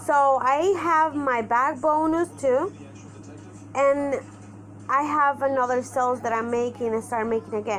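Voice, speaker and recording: With a Spanish accent, a woman talks at a fairly slow pace in a high pitch while music plays in the background. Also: ordinary pitch variation. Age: 30s. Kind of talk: personal vlog monologue. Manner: halting.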